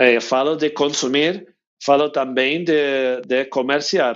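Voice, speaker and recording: Speaking very slowly, a man with an English accent has a fairly high pitch. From United States. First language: English (speaking Portuguese). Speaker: winery owner. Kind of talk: interview. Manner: halting.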